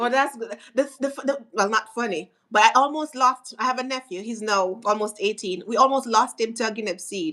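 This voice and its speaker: A woman's fairly high, bright, sharp voice at a moderate pace, with hardly any pauses and ordinary pitch variation. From Jamaica. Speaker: podcast co-host. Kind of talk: casual chat.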